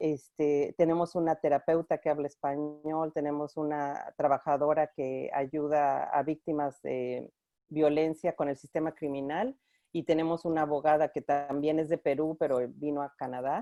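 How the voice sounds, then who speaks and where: Against a quiet background, a woman with a very deep, low pitch talks fairly slowly in a dark, mellow tone, her monotone, flat intonation captured in a dry, close sound with no echo. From Mexico (Mexico City). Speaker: clinical supervisor at a women's organization. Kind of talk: online conference interview.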